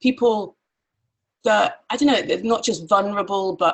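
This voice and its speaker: A woman talks with an English accent. Her pace is fairly quick. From grew up in Nigeria and Pakistan, Irish family. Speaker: mastermind facilitator. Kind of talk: casual chat.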